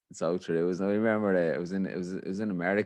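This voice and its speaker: Against a quiet background, a man with an Irish accent and a very deep, low pitch speaks at a very fast pace. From Ireland. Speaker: podcast host. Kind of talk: casual chat. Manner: animated.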